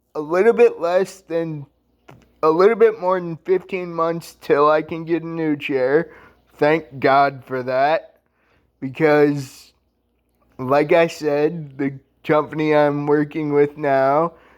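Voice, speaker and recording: Against a quiet background, a man speaks at a very slow pace with long, frequent pauses. His pitch is fairly high and his intonation fairly even. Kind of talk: casual rant vlog. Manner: high-pitched from irritation; halting, self-correcting.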